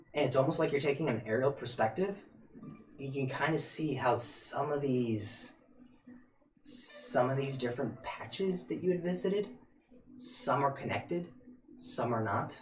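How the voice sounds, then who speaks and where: In a put-on character voice that is raspy, the speaker moves at a moderate pace with lively intonation, broken by long, frequent pauses. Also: man, fairly high pitch for a man. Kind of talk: fantasy game narration. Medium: actual play. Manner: hesitant, halting, with fillers and restarts.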